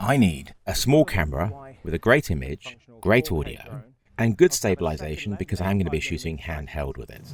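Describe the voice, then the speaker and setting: With vocal fry, a man talks fairly quickly in a very deep, low voice, his pitch swinging very widely and his loudness rising and falling a lot. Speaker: filmmaker and camera reviewer. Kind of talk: tech review narration.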